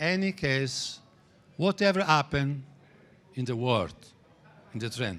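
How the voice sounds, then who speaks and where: A man with an Italian accent speaks at a fairly high pitch with lively intonation. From Italy. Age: 60s. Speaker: trading teacher. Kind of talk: lecture. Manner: halting.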